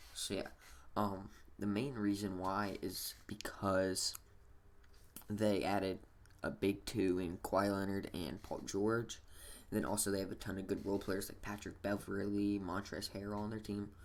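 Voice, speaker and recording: A man is whispering. He is quiet. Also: moderate pace. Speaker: sports gaming YouTuber. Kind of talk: casual vlog commentary. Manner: whispering-ish, quiet; halting, many fillers.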